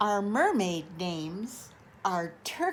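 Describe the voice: The clip is plain reading aloud.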